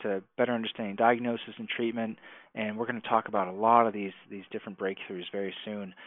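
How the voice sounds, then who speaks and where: Speaking very fast, a man uses a medium pitch. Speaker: podcast host, allergist. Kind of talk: interview.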